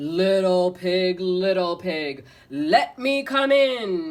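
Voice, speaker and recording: A female-sounding, medium-pitched put-on character voice growls at a very slow pace. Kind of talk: storybook. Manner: growling, menacing.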